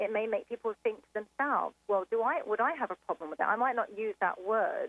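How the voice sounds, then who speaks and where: A woman's fairly high voice in an English accent, fairly quick, with ordinary pitch variation and big swings in loudness. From England. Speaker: caller. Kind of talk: phone-in discussion. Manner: hesitant, many fillers.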